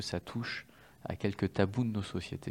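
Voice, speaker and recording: In a normal speaking voice, a man talks at a fairly slow pace with fairly low pitch and fairly even intonation. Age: 30s. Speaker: tech executive and charity fund president. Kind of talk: testimony.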